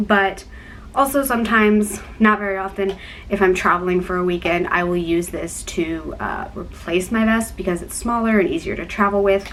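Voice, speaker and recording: A woman speaks at a moderate pace and a medium pitch, with ordinary pitch variation. Noticeable background noise runs underneath. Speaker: YouTuber with a chronic illness. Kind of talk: casual vlog talk. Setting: dorm room.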